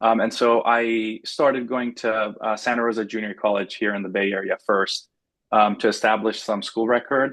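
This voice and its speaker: In a Persian accent, a man speaks at a medium pitch and a moderate pace with monotone, flat intonation over a quiet background. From Iran. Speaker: engineer and startup founder. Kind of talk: interview. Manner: many fillers, halting.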